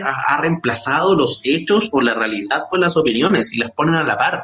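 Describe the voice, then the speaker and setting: Over noticeable background noise, a man talks at a fairly quick pace. His fairly high voice makes very wide pitch swings. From Chile, Santiago (San Miguel). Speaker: journalist and radio host. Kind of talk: casual chat. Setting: remote call.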